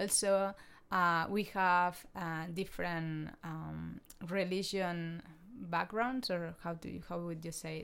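A woman with a Spanish accent speaks at a very slow pace in a fairly low pitch. Her loudness swings widely while her intonation stays fairly even, and the recording is very clean with a silent background. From Spain. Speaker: podcast host. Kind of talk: casual chat.

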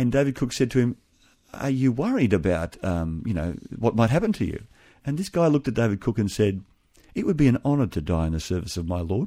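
A man with an Australian accent at a very fast pace, medium in pitch with very wide pitch swings and a dark, mellow tone, on a very clean recording with a silent background. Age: 50s. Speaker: pastor becoming navy chaplain. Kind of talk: radio interview. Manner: halting.

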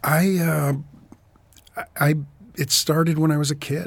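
A somewhat breathy man with an American accent talks at a moderate pace. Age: 60s. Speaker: author and professor. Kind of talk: casual interview.

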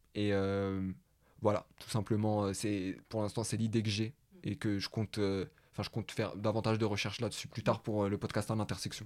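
Here a man talks at a fairly low pitch with monotone, flat intonation. The recording is very clean, with a silent background. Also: moderate pace. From Paris, France. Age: 20s. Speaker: podcast host. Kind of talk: casual conversation.

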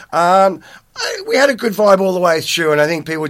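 The speaker has an Australian accent and ordinary pitch variation at a fairly quick pace. Noticeable background noise is present. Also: man. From Australia, New South Wales (Parkes, then Penrith). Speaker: former nightclub owner. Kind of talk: interview. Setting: studio. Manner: halting, many fillers and repetitions.

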